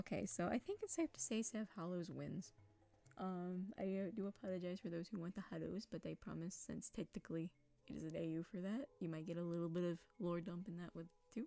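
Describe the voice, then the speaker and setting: With music in the background, a woman of fairly low pitch talks at a fairly quick pace with ordinary pitch variation. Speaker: streamer. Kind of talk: casual live stream chat.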